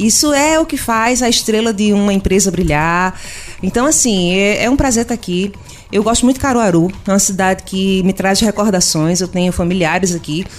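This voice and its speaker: Noticeable background noise runs under this recording. A woman speaks over it at a moderate pace and a medium pitch. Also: ordinary pitch variation. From Pernambuco, Brazil (Agreste). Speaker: customer service consultant and speaker. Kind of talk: radio interview. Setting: studio.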